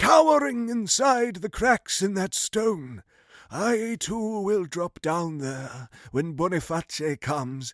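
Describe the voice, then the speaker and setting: In a put-on character voice, the speaker goes at a fairly slow pace with very wide pitch swings, the sound dry and close with no echo. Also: man, high pitch for a man. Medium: read story.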